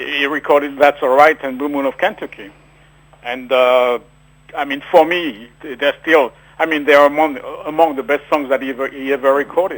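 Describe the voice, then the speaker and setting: With a French accent, a man speaks at a moderate pace, his fairly high voice keeping a fairly even intonation. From France. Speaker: author. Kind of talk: radio interview. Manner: halting.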